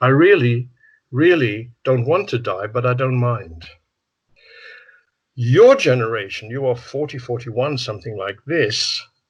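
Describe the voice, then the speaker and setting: Using long, frequent pauses, a man with a medium pitch speaks at a fairly slow pace, somewhat breathy and with lively intonation. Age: 70s. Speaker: psychotherapist. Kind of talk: interview. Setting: video call.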